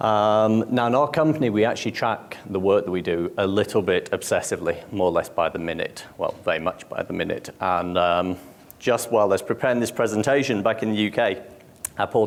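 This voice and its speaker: A man with a British accent at a fairly quick pace. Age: 40s. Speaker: conference speaker. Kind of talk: conference talk. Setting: stage with audience.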